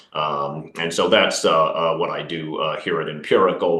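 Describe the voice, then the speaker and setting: A man with an American accent talks at a moderate pace. Noticeable background noise and audible room echo are present. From Kansas. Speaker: quantitative investment strategist. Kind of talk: webinar presentation. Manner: many filler words (uh, um).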